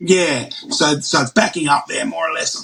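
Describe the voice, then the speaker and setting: A man's voice is raised and projected. He speaks at a fairly slow pace. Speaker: heart transplant patient. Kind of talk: casual chat.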